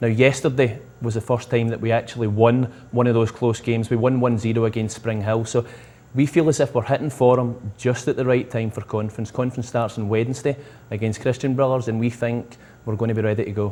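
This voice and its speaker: A man's medium-pitched, dark and mellow voice in a Scottish accent, monotone and fairly quick. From Scotland. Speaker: soccer coach. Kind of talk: interview.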